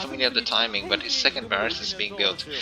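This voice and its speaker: A man with a non-native accent over noticeable background noise. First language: not English. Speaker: StarCraft commentator. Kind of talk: live game commentary. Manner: fast; hesitant, many fillers.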